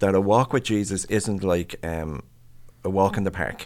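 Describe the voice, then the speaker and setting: A man with an Irish accent talks at a moderate pace, his fairly low pitch showing ordinary variation, in a very clean recording with a silent background. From Ireland. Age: 60s. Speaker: pastor and mental health professional. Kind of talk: casual interview conversation. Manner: animated, self-deprecating humor.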